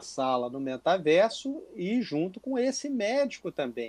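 This man talks at a fairly slow pace. Very wide swings mark his pitch. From Brazil, inland Minas Gerais. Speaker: gynecologist and researcher. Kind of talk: interview. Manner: halting, repeats words.

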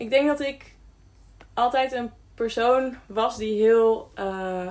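A woman speaks very slowly in a fairly high voice, with ordinary pitch variation. The recording is very clean, with a silent background. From Friesland, Netherlands. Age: 20s. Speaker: care worker and hiker. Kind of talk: podcast interview.

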